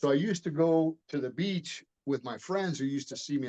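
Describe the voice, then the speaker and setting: A man's fairly high, dark and mellow voice with an American accent and ordinary pitch variation. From Miami, Florida, US. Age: 60s. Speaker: martial artist and retired police detective. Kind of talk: interview. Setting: podcast interview.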